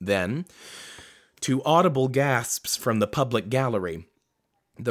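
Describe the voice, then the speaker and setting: A man talks at a moderate speed in a very clean recording with a silent background. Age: 20s. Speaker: podcast host reading a book aloud. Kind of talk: reading aloud with casual commentary. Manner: halting, stumbles over words.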